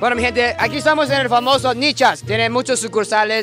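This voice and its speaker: Clear music plays in the background as a man talks, the sound dry with no echo. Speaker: food vlog host. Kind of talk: casual vlog commentary. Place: market. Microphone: handheld.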